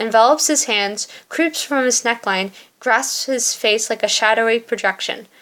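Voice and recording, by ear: Ordinary pitch variation marks this delivery by someone reading aloud in a natural voice.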